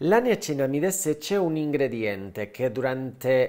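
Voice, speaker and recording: Over a quiet background, a man with a Spanish accent speaks at a fairly high pitch with lively intonation. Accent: Spanish accent in Italian. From Spain. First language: Spanish (speaking Italian). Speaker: cosmetic surgeon and skincare YouTuber; skincare YouTuber. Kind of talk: skincare tutorial; casual vlog tutorial. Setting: at home. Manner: animated. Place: home room. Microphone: lapel.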